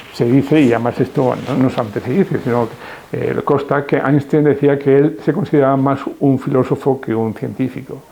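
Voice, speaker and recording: Fairly even in intonation, a man talks at a fairly quick pace in a fairly high voice over noticeable background noise. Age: 70s. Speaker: retired philosophy professor. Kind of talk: interview. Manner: hesitant, with many fillers.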